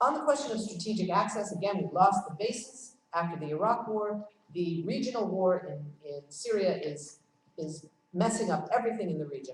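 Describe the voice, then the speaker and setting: The woman's medium-pitched voice carries lively intonation and big swings in loudness. Audible room echo surrounds her. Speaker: conference speaker on foreign policy. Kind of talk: conference talk. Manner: fast.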